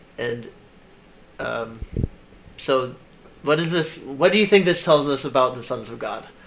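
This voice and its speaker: A man with ordinary pitch variation, at a fairly slow pace. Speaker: Bible teacher. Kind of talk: casual Bible study discussion. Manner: halting, many fillers.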